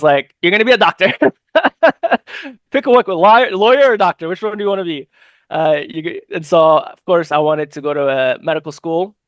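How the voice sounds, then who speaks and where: A man's high-pitched, fairly quick delivery with lively intonation and a dry, close sound with no echo. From New York, South Brooklyn (from age 7, born in Egypt). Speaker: political candidate, former EMT. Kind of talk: interview. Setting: podcast interview. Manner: halting, many fillers and repeats.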